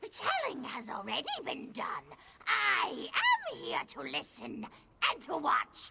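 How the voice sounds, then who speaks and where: A put-on character voice at a fairly slow pace. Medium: video game. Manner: cryptic, measured, aphoristic.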